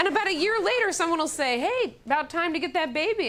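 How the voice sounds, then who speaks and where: A raised, projected voice with an animated tone rises over noticeable background noise. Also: woman. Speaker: comedian and monologist. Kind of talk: comedic monologue, stage storytelling. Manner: animated, humorous, conversational.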